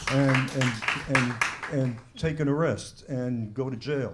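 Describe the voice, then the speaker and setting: The speech moves at a fairly slow pace with ordinary pitch variation, with audible room echo and noticeable background noise. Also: man. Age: 70s. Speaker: panelist, author. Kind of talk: panel discussion. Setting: bookstore panel event with audience.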